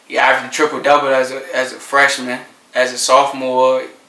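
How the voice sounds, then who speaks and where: A man with an American accent speaks at a moderate pace and medium pitch in a flat monotone, with audible room echo and noticeable background noise. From Norfolk, Virginia. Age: 20s. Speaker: teacher and basketball coach. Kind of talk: casual interview.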